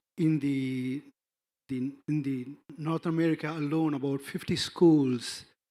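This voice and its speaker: A fairly high-pitched man with an Indian accent, fairly slow pace and fairly even intonation on a very clean recording with a silent background. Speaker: NGO representative. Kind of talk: conference panel talk. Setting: conference stage with audience. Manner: halting, many fillers and restarts.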